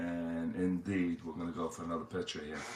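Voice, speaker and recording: This man has a very deep, low pitch and a New York accent. He speaks at a moderate pace. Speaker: tabletop baseball game streamer. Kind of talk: play-by-play commentary of a tabletop game. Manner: hesitant, many fillers.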